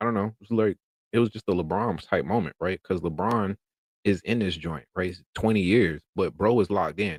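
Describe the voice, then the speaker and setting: In a North Carolina accent with ordinary pitch variation, the voice comes through dry and close with no echo, in a very clean recording with a silent background. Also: man. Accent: US Southern, North Carolina. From North Carolina, Durham. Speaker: delivery driver and content creator. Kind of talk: live stream casual talk. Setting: live stream.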